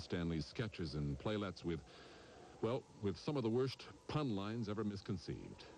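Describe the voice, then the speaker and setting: A man's very deep, low voice at a moderate pace, with lively intonation. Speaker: TV show announcer. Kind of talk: TV show announcement.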